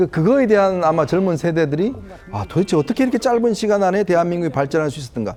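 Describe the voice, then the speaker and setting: Very fast and lively in intonation, a man speaks in a high voice with a dark, mellow tone. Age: 50s. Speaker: political commentator. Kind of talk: TV panel discussion. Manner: hesitant, many fillers.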